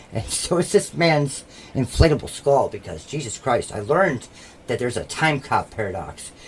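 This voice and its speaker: Noticeable background noise surrounds a man's speech. His tone is animated and his intonation lively. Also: fairly high pitch for a man, moderate pace. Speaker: podcast co-host. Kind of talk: casual comedic chat. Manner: loud.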